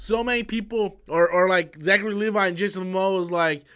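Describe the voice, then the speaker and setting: A man's high, raised, projected voice, bright and sharp in tone, at a moderate pace with ordinary pitch variation, on a very clean recording with a silent background. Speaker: YouTube movie news commentator. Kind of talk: live stream chat. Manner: loud, yelling at times; repetitive stammering.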